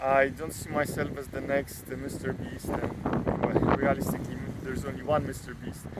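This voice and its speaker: There is noticeable background noise as a man talks with a non-native accent. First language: not English. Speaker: data scientist and YouTuber. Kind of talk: casual vlog monologue. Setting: outdoors. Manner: halting, many fillers.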